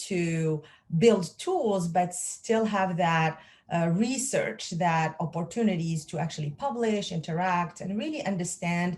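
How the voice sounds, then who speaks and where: Somewhat breathy, a woman talks at a fairly slow pace. Her medium pitch carries ordinary pitch variation. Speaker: pharmacist and lab executive. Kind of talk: interview. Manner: hesitant, many fillers.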